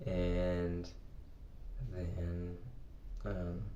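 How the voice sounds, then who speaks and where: A man speaks with a dark, mellow tone, somewhat breathy, and with ordinary pitch variation. Audible room echo surrounds his voice. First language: Portuguese. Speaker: English teacher. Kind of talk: personal vlog. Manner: halting.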